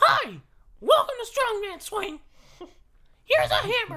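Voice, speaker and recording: A put-on character voice speaks at an extremely high pitch with an upbeat tone. The pace is fairly slow. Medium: actual play. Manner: chirpy, upbeat.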